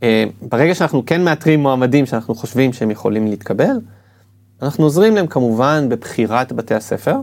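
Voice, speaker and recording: A normal speaking voice with lively intonation at a moderate pace. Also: man, medium pitch for a man. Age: 40s. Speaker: admissions consultant. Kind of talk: interview.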